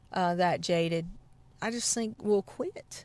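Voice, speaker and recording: On a very clean recording with a silent background, a woman speaks with a Southern US accent. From South Carolina. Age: 40s. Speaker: banjo player. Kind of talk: interview. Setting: outdoors.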